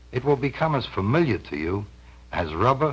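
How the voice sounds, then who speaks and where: A man's pitch swings very widely, with vocal fry throughout his speech. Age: middle-aged. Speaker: pitchman. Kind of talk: vintage TV infomercial pitch.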